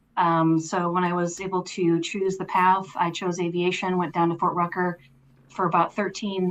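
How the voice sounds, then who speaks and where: A woman with an American accent speaks at a moderate pace in a monotone, flat intonation. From Minnesota, US Midwest. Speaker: army veteran and distillery co-founder. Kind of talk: podcast interview.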